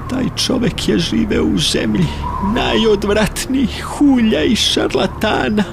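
A man speaks with very even loudness. Music plays in the background. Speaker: radio and TV announcer. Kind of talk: poetry reading.

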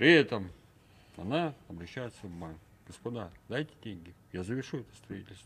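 With big swings in loudness and very wide pitch swings, a man speaks at a fairly low pitch and moderate pace, leaving long, frequent pauses. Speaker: talk show guest. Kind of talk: studio talk show discussion. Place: studio. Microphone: studio mic.

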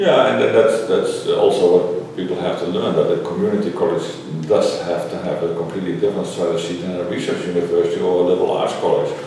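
With hardly any pauses, a man in a Dutch accent talks at a very fast pace amid strong room echo and light background noise. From Netherlands. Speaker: higher education scholar. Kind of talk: interview. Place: meeting room. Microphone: camera far.

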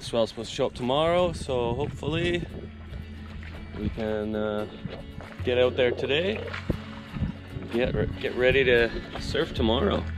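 Clear music sits in the background as a man speaks at a moderate pace with long, frequent pauses, the sound dry with no echo. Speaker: sailing vlogger. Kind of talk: casual vlog chat. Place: boat. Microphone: phone near.

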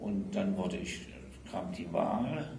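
There is audible room echo and light background noise around a man's voice. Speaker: retired railway trade unionist. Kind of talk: oral history interview answer. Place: meeting room.

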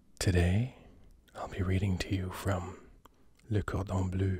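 A man with a very deep, low pitch speaks at a fairly slow pace in a dark, mellow, soothing tone, somewhat breathy and monotone, flat in intonation. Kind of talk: sleep reading of recipes. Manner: soothing, slow.

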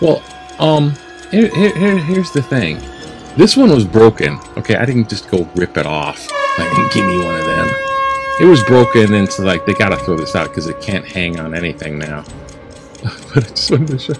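Clear music sits in the background as a man speaks at a moderate pace. He leaves long, frequent pauses. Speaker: video blogger. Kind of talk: casual vlog chat. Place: home room. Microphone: webcam.

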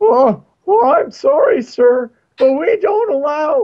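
In a put-on character voice, the speaker talks fairly slowly at a high pitch with very wide pitch swings. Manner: put-on, exaggerated.

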